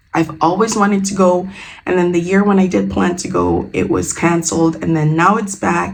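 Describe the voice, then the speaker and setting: An animated, fairly low woman's voice at a moderate pace, with ordinary pitch variation and audible room echo. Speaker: natural hair beauty vlogger. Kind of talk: casual unboxing vlog.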